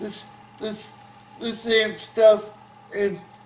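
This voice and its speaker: A man speaks very slowly with an American accent, his pitch high for a man. His delivery is flat and monotone over noticeable background noise. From Burke, Virginia. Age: 30s. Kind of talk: interview answer. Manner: halting, repetitive.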